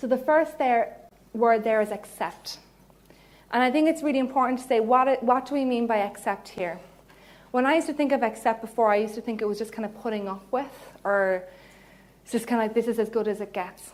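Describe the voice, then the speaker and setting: Speaking fairly quickly in a Cork accent, a woman uses a fairly high pitch with ordinary pitch variation. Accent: Cork Irish. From Ireland, Cork. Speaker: psychologist. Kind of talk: lecture. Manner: animated.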